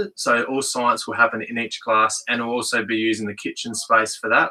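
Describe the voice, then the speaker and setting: Moderate pace and a bright, sharp tone, with an Australian accent. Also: man. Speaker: school principal. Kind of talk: school assembly address. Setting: podcast room studio, livestreamed.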